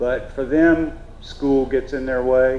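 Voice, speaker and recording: Noticeable background noise and audible room echo surround the recording. A man speaks at a very slow pace. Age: 60s. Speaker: traditional cooper, craftsman. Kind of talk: festival panel talk. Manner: halting, many fillers.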